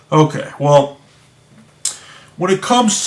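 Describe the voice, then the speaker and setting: A man with a high-pitched voice talks through noticeable background noise. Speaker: video blogger discussing games. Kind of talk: casual monologue commentary. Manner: slow; halting, many restarts.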